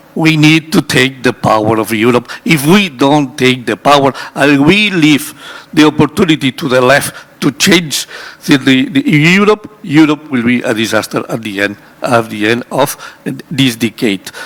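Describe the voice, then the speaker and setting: A man's fairly high voice carries lively intonation at a moderate pace, with noticeable background noise behind it. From Spain. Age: 60s. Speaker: energy industry specialist on a conference panel. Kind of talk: panel discussion. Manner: halting, many repetitions.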